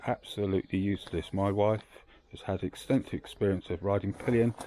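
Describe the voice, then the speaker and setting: A man with a British accent talks at a moderate pace in a fairly low pitch, his dark, mellow tone showing ordinary pitch variation. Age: 60s. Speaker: motorcycle owner reviewer. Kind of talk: product review monologue. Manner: hesitant, many fillers.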